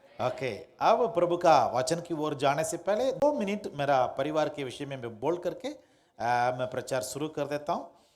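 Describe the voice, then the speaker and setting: Hardly pausing at all, a man speaks in a fairly high pitch with a Tamil accent. Audible room echo surrounds his voice. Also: lively intonation. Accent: Tamil-accented Hindi. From Tamil Nadu, Madurai district. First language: Tamil (speaking Hindi). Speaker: pastor. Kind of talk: sermon. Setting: church. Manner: halting.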